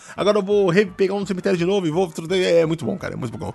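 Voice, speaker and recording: A man with a high pitch, an animated tone and a very fast pace. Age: 30s. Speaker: podcast host. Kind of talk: casual chat.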